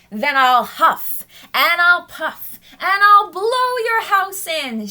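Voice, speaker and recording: Putting on a character voice, a woman speaks very slowly in a raised, projected voice at an extremely high pitch. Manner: shouting, menacing.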